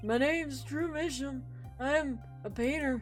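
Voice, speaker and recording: A put-on character voice, shaky and at a moderate pace, plays against clear music in the background. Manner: slow.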